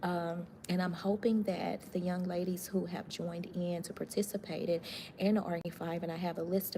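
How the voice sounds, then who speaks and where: A woman speaks softly in a dark, mellow tone, somewhat breathy and monotone, with flat intonation. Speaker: live-stream host. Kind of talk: casual live-stream chat. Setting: hospital, near the chapel. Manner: soft-spoken, talking low.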